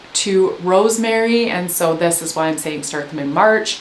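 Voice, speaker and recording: Light background noise sits behind a woman speaking with a Canadian accent at a moderate pace and with ordinary pitch variation. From Canada. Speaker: gardening educator. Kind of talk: tutorial. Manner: animated. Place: home room.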